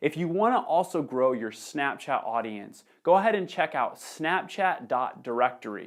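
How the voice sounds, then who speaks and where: A man speaks in an energetic tone. The recording is very clean, with a silent background. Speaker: social media marketer. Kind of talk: tutorial.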